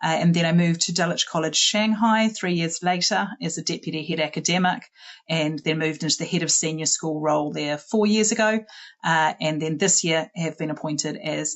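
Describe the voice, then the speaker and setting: A woman with a New Zealand accent at a moderate pace, with ordinary pitch variation. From New Zealand, Auckland. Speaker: school head. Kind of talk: presentation. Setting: online webinar.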